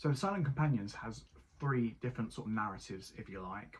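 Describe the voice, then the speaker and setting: Speaking in an Essex accent, a man goes at a fairly quick pace with ordinary pitch variation. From Essex, England. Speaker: book reviewer. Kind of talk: casual book review. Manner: hesitant, many ums.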